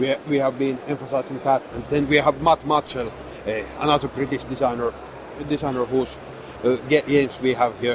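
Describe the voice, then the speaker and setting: A man's monotone, flat intonation comes through noticeable background noise. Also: medium pitch for a man, moderate pace. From Finland. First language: Finnish. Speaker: game designer and publisher. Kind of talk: convention interview. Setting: convention booth. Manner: hesitant, frequent repetitions.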